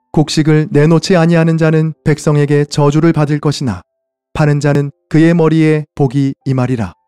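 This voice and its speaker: With music playing in the background, a man speaks at a fairly high pitch with fairly even intonation. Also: dry, close sound with no echo. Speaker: pastor. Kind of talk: Bible reading.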